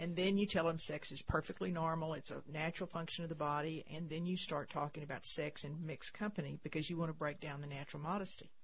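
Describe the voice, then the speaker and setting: In a Texan accent, a woman with a very deep, low pitch and a somewhat breathy voice speaks at a very fast pace with hardly any pauses and fairly even intonation. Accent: Texan Southern US. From Texas. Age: 70s. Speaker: pro-life nonprofit founder. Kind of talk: radio interview. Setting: studio.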